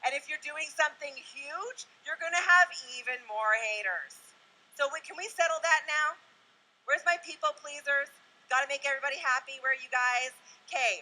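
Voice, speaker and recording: Her voice raised and projected, a woman speaks in a high pitch at a moderate pace with lively intonation. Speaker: motivational speaker. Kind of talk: motivational talk. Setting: stage with audience. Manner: loud; animated.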